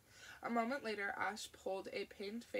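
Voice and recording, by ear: In a natural voice, the speaker reads aloud.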